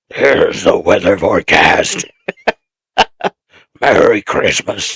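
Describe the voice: The man's voice is a put-on, raspy character. His delivery is fairly slow.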